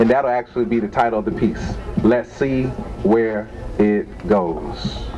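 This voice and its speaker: Speaking at a fairly slow pace with lively intonation, a man is heard against noticeable background noise. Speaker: spoken word poet. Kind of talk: casual introduction to live audience. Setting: open mic event, live venue. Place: shop. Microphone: handheld.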